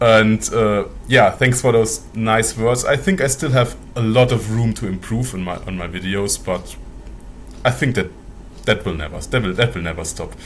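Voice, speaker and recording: A man with a German accent, medium pitch and ordinary pitch variation, at a moderate pace. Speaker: mortician and tabletop game master, video creator. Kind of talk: casual interview. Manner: hesitant, many fillers.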